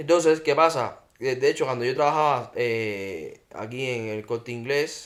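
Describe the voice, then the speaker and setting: A man with a Cuban accent speaks at a fairly slow pace, with hardly any pauses. His pitch is medium, with ordinary variation. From Cuba, Havana. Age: 30s. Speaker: podcast guest, Cuban emigrant. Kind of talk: casual chat.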